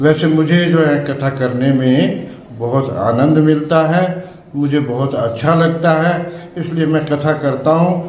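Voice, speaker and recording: Room echo and noticeable background noise surround a man with a fairly high voice. He talks with hardly any pauses and fairly even intonation. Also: very even loudness. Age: 70s. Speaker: religious storyteller. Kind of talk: interview.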